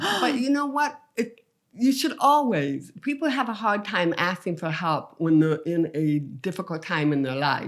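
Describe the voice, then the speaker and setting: With an English accent, a woman speaks fairly slowly in a fairly low voice, barely pausing. Her pitch swings very widely. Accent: English-tinged with speech impediment. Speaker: comedian. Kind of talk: podcast interview.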